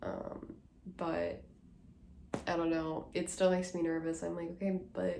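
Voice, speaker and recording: Heard with audible room echo, a woman speaks in a fairly low pitch with a dark, mellow tone. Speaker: book vlogger. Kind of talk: casual vlog talk to camera. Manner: hesitant, many fillers.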